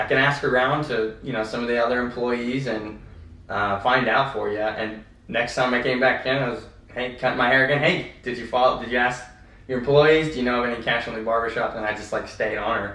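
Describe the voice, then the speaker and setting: Audible room echo surrounds a man speaking with fairly even intonation. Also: medium pitch for a man, fairly quick pace. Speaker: ATM business owner and podcast co-host. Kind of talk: casual podcast chat. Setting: office. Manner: fast.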